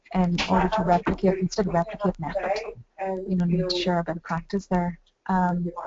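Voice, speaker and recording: Speaking at a very fast pace in a Northern Irish accent, a woman keeps a monotone, flat intonation. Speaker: university employability staff. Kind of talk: video conference discussion.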